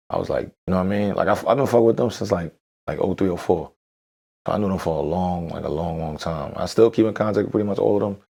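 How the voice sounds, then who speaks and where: A man with a New York accent at a very fast pace, fairly low in pitch with ordinary variation and a dark, mellow tone, on a very clean recording with a silent background. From New York, Brooklyn (Bed-Stuy). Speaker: rapper. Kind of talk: interview chat.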